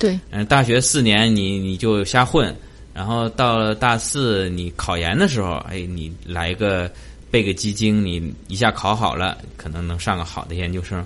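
This man has a normal speaking voice with fairly low pitch. He talks at a fairly slow pace with ordinary pitch variation. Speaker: podcast host. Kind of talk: interview.

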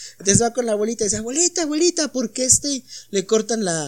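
A man's very fast delivery with very wide pitch swings, in a dry, close sound with no echo. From Mexico. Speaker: podcast host. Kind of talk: casual chat. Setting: home studio.

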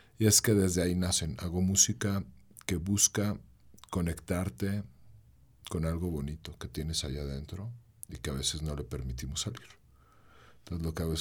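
This man has a very deep, low pitch and a somewhat breathy voice, with a central Mexican accent. He keeps a moderate pace and lively intonation. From Mexico, León (Bajío). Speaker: singer-songwriter. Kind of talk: casual interview chat.

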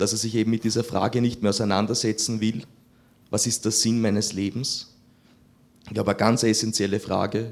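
This man's voice sits at a medium pitch, flat and monotone, moving at a fairly quick pace with long, frequent pauses. The recording is very clean, with a silent background. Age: 20s. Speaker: seminarian, audience member. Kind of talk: audience question.

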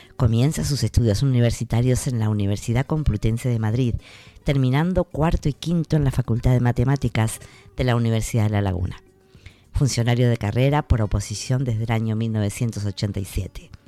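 Music plays in the background as a man talks at a moderate pace and medium pitch. The sound is dry and close with no echo, and his pitch varies in an ordinary way. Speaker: radio host. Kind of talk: scripted radio introduction and biography reading. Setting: radio studio. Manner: formal.

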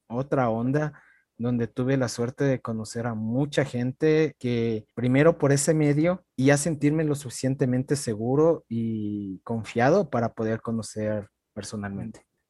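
A man with a dark, mellow tone talks at a fairly slow pace in a dry, close sound with no echo. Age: 30s. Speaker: podcast host. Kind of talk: casual chat.

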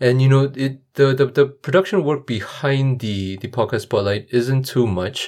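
A normal speaking voice from a man at a moderate pace, with hardly any pauses, in a very clean recording with a silent background. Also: medium pitch for a man, ordinary pitch variation. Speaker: podcaster and auditor. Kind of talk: casual interview answers and intro monologue.

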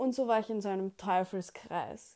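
The voice has a dark, mellow tone and ordinary pitch variation, moving at a fairly slow pace in a very clean recording with a silent background. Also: woman. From Austria, Vienna. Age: 20s. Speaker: podcaster. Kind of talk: personal storytelling monologue.

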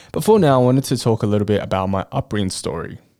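A man with an Australian accent speaks with ordinary pitch variation. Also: very clean recording, silent background. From Australia, born in Chongqing, China. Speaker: podcast host. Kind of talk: casual monologue. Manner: laughs often.

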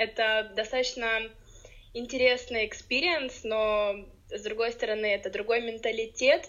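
With an ordinary speaking voice, a woman talks at a moderate pace, her pitch fairly high. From Ukraine. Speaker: podcast guest, blogger. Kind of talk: casual interview.

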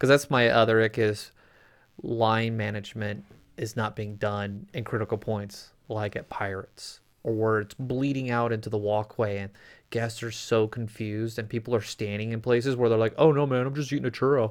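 In a very clean recording with a silent background, a man with an American accent speaks at a moderate pace and a medium pitch. He has an unremarkable speaking voice with fairly even intonation. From Phoenix, Arizona. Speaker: podcast co-host. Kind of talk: casual chat.

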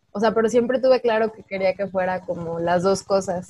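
At a fairly quick pace, a woman talks in a dark, mellow tone at a medium pitch. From Mexico, Guanajuato. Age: 20s. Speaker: painter. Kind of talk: casual chat. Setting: remote call recording.

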